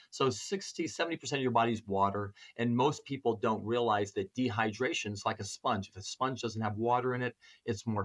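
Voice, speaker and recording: A man's plain, everyday voice at medium pitch, moderate pace and ordinary pitch variation, with a dry, close sound and no echo. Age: 60s. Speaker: chiropractor. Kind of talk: interview.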